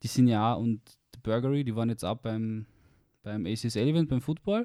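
A man with a medium-pitched voice and a dark, mellow tone speaks at a fairly slow pace with ordinary pitch variation, in a very clean, dry, close recording with a silent background and no echo. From Austria, Carinthia. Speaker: university student. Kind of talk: casual chat.

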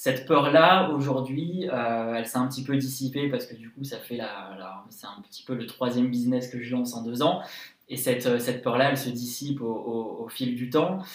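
A man at medium pitch and moderate pace, with ordinary pitch variation, big swings in loudness, audible room echo and noticeable background noise. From France, Lyon. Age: 20s. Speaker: entrepreneur. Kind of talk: interview. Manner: energetic; hesitant, many fillers.

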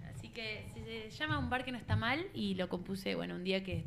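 There is noticeable background noise. A woman speaks at medium pitch. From Argentina, Buenos Aires northern suburbs. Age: 20s. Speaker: singer-songwriter. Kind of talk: casual chat.

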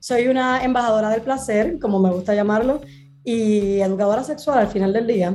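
A woman's fairly high voice with a dark, mellow tone, very even loudness, ordinary pitch variation and a moderate pace. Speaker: sex educator. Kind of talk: casual chat. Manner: animated.

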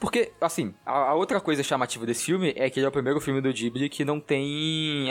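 This man has an ordinary speaking voice, pitched fairly high, and talks at a fairly quick pace. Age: 20s. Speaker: podcast co-host. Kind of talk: casual chat.

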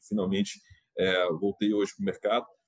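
Heard with a dry, close sound and no echo, a man has a plain, everyday voice with ordinary pitch variation. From Minas Gerais, Brazil. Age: 40s. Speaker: fintech revenue executive. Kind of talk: interview.

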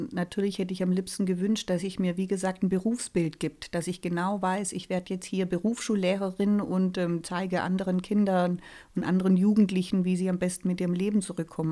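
A woman speaks at a medium pitch in a flat monotone with a dark, mellow tone. Her pace is fairly quick, and the recording is very clean with a silent background. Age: 40s. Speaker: resilience trainer and life coach. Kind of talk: casual chat.

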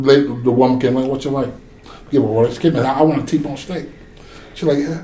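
The speaker has an eastern North Carolina accent. Background noise is noticeable. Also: man. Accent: Southern US (eastern North Carolina). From US South, North Carolina. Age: 40s. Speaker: oil rig worker. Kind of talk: casual chat. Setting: studio. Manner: animated.

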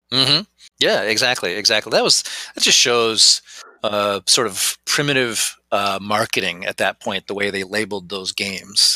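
The sound is dry and close with no echo, and the tone is bright and sharp. Someone with an American accent speaks at a moderate pace with fairly even intonation. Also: man, fairly low pitch for a man. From rural Wisconsin, US Midwest. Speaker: game designer and convention organizer. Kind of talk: casual interview chat.

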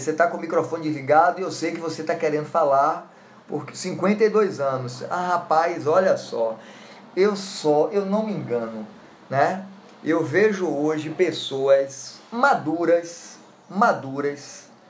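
Noticeable background noise under a fairly slow delivery. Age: 50s. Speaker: law lecturer. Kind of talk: lecture.

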